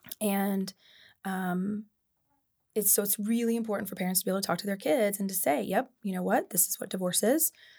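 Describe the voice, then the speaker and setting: A woman speaks at a fairly quick pace in a somewhat breathy voice. Her pitch variation is ordinary. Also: medium pitch for a woman. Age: 40s. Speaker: licensed counselor and play therapist. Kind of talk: casual interview.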